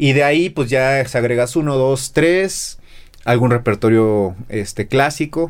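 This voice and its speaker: A man talks at a fairly slow pace with a Mexico City accent and ordinary pitch variation. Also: medium pitch for a man. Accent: Mexico City area Spanish. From central Mexico (Texcoco, State of Mexico). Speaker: guitarist and music teacher. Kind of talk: casual interview chat.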